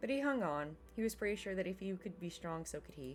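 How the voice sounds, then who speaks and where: A woman speaks fairly quickly. Behind her, music can be heard. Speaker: gaming let's play host reading visual novel aloud. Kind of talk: reading visual novel dialogue and narration aloud.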